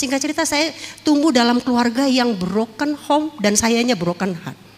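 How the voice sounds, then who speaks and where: Against noticeable background noise, a woman talks at a fairly quick pace in a high pitch with lively intonation. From Jakarta, Tanjung Priok. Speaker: former dangdut singer and actress giving testimony. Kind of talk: testimony.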